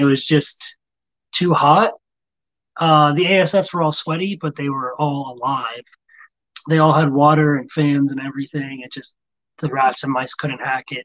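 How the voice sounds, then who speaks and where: Taking long, frequent pauses, a man with a fairly high pitch speaks with big swings in loudness. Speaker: rodent breeder and army veteran. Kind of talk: casual chat. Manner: fast and loud when excited; calm here.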